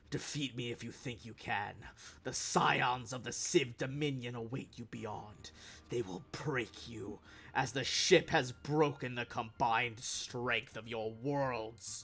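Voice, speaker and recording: A man bellows and growls in a put-on character voice at medium pitch. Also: fairly slow pace. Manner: arrogant, menacing.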